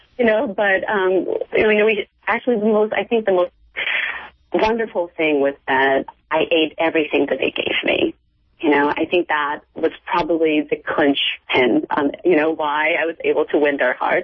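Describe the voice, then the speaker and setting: Lively intonation and very even loudness mark this woman's delivery at a moderate pace. Hers is an unremarkable speaking voice. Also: fairly low pitch for a woman. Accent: American. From United States. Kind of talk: radio interview.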